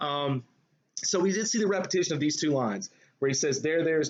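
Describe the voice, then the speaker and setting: A man speaks at a very fast pace with a Southern US accent. His pitch varies in an ordinary way. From US South. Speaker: high school English teacher. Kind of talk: lecture. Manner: casual, hesitant with fillers.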